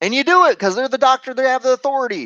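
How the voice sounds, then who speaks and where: A man speaks loudly in an animated tone, in a dry, close recording with no echo and a quiet background. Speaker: sales trainer. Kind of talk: tutorial.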